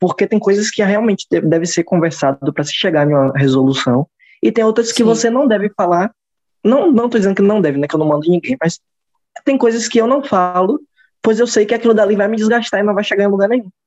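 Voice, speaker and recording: This man talks at a very fast pace with lively intonation and a high pitch. The sound is dry and close, with no echo. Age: 20s. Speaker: podcast co-host. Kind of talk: casual chat.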